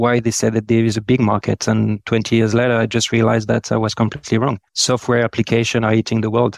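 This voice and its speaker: A man with a French accent talks at a very fast pace with hardly any pauses, in a medium pitch, with very even loudness and monotone, flat intonation. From France, Lyon. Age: 40s. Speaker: procurement executive. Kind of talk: interview.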